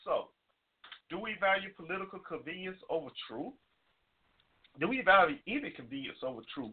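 Speaking with an American accent at a moderate pace, a man uses an animated tone, a high pitch and very wide pitch swings, leaving long, frequent pauses. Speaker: internet radio talk show host. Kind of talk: casual talk radio monologue.

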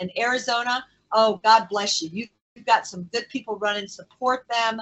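A woman speaks at a moderate pace in a normal speaking voice. Her pitch sits fairly high. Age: 60s. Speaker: guest, political prisoner, former county clerk. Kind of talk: interview. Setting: video call.

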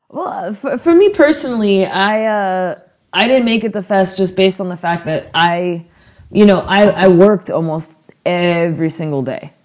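A normal speaking voice from a woman with an American accent, medium pitch, moderate pace and lively intonation. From Florida, St. Petersburg. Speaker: punk rock musician. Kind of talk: casual chat. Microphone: poor recording quality.

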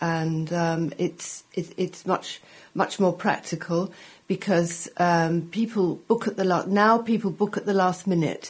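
A woman with an English accent talks at a fairly slow pace, her fairly low pitch somewhat breathy and her intonation fairly even. The recording is very clean, with a silent background. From England. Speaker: food journalist. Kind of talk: interview. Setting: studio.

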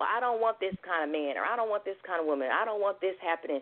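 The speech comes at a very fast pace in an animated tone. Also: woman. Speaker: singer-songwriter and life coach. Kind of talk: radio talk show interview.

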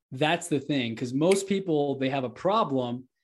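This is a man with an American accent, using a normal speaking voice at a fairly high pitch. He speaks at a moderate pace with ordinary pitch variation over a quiet background. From Texas, Houston. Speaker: real estate entrepreneur and podcast host. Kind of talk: casual interview.

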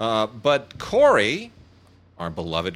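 The man's voice has a bright, sharp tone. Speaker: podcast host and film reviewer. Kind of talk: casual chat. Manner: halting, many fillers.

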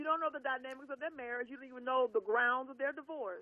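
A woman with a high pitch and an American accent talks at a very fast pace. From US South, Louisiana. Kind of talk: casual chat.

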